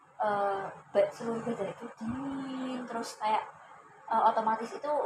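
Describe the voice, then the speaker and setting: This woman's fairly high voice moves at a moderate pace with ordinary ups and downs in pitch. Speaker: university student, counseling client. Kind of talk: counseling session role-play. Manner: hesitant, many fillers.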